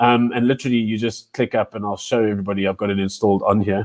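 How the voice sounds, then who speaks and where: A man talks at a very fast pace in a fairly low pitch with fairly even intonation, recorded with a dry, close sound with no echo. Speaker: educator presenting a teacher webinar. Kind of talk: live webinar tutorial. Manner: talkative, many fillers and repetitions.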